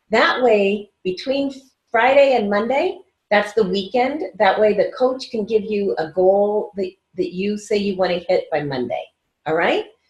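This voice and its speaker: Somewhat breathy and fairly high, a woman's voice moves at a fairly slow pace with very wide pitch swings. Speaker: weight-loss coach. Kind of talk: recorded video class. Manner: quiet; casual, upbeat.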